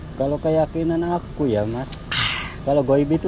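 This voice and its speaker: A man speaks over noticeable background noise. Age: young. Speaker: factory worker and YouTuber. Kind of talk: storytelling.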